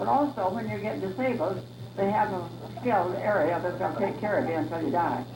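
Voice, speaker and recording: Someone talks at a fairly quick pace over noticeable background noise. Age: 80s+. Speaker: family elder. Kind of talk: casual self-introduction. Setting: family reunion gathering.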